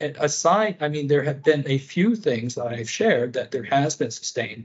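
This man speaks at a moderate pace. His voice sits fairly high and sounds somewhat breathy. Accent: American. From US, rural northwest Pennsylvania. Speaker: public health nutrition leader. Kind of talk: interview. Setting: remote call.

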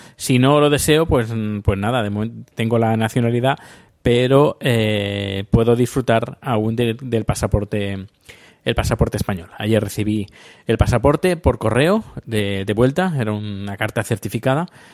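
Here a man speaks at a medium pitch with ordinary pitch variation. His pace is fairly slow. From Spain. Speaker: podcaster. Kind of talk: casual monologue. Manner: halting.

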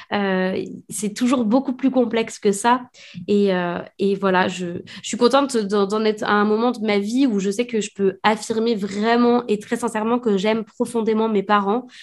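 Against a quiet background, a woman with a fairly high pitch speaks at a fairly slow pace and keeps her intonation fairly even. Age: 30s. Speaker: author and illustrator. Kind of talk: casual interview. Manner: halting.

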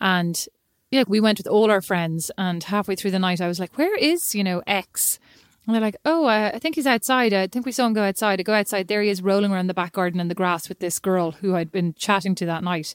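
Recorded dry and close with no echo on a very clean recording with a silent background, a woman with an Irish accent speaks at medium pitch in an animated tone at a fairly quick pace. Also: ordinary pitch variation. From Ireland, lived in Kilkenny. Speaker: podcast co-host. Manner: chatty, animated storyteller.

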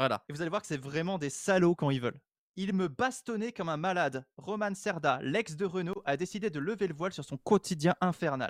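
The voice moves at a fairly quick pace with lively intonation, in a dry, close sound with no echo on a very clean recording with a silent background. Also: man, high pitch for a man. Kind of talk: casual chat. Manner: loud.

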